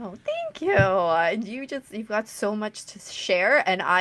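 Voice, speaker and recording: Speaking at a fairly slow pace, a woman uses a plain, everyday voice with a fairly high pitch and lively intonation. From Canada. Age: 30s. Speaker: podcast host. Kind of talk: interview.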